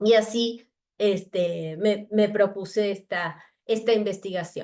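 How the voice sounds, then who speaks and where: A woman speaks very slowly with fairly even intonation. Her tone is dark and mellow. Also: medium pitch for a woman. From Argentina. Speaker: researcher. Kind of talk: academic talk. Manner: halting.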